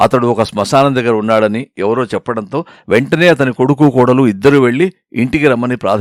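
A quiet background behind reading aloud in a natural voice, with ordinary pitch variation

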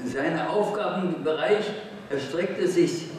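Amid light background noise and strong room echo, a man with a high pitch speaks at a very slow pace. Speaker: communist activist and historian. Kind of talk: political speech at a congress. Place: hall. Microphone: podium.

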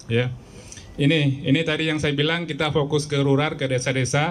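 The intonation is monotone and flat. A man delivers it at a fairly quick pace. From Aceh, Indonesia. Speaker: telecom sales officer. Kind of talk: press event speech. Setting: media gathering event.

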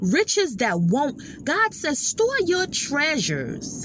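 Very slow and dry with no echo, a woman's voice moves through very wide pitch swings. Light background noise is present. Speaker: inspirational vlogger. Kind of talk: sermon-like casual vlog talk. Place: car. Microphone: phone near.

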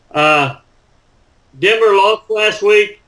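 Against a quiet background, a man speaks very slowly in a raised, projected voice with a bright, sharp tone. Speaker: sports podcast co-host. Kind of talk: casual chat. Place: home room.

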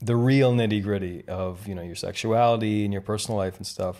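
A man with a Canadian accent speaks in an unremarkable speaking voice at medium pitch, with fairly even intonation and a moderate pace. The recording is very clean, with a silent background. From Canada, rural Ontario. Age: 30s. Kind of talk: casual chat. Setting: hotel room.

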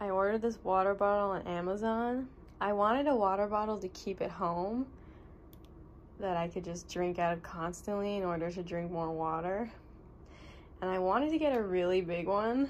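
The speech moves at a moderate pace with long, frequent pauses over light background noise. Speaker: vlogger. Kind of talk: casual vlog chat. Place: home room. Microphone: phone near.

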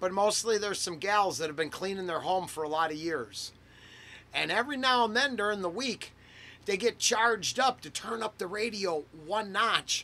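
A man talks in a raised, projected voice at a moderate pace. His tone is bright and sharp. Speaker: podcast host. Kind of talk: casual podcast chat. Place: home room.

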